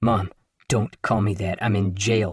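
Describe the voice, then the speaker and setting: Quietly growling, a man uses a put-on character voice at a fairly low pitch. He speaks at a fairly slow pace with fairly even intonation. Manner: hushed, urgent, embarrassed.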